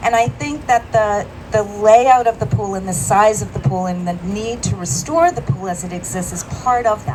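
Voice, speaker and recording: The voice moves at a moderate pace with hardly any pauses and very wide pitch swings. Noticeable background noise runs underneath. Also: woman, medium pitch for a woman. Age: 60s. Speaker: health policy professional, resident speaker. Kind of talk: public speech at rally. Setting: outdoors at press conference.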